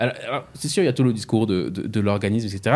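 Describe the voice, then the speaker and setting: Fairly quick speech comes through in a very clean recording against a silent background. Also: man. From France, Strasbourg (Alsace). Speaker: podcast host. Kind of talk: podcast discussion. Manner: hesitant, frequent word repetitions.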